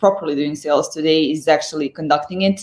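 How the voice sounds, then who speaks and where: With a slight Serbian accent, a woman talks at a fairly quick pace with fairly even intonation. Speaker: sales executive. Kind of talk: interview. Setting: live stream. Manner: halting.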